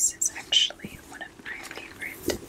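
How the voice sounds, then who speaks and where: A woman whispering in a gentle tone. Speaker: ASMR creator. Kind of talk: ASMR unboxing, whispered talk to camera. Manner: whispered, gentle. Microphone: studio mic.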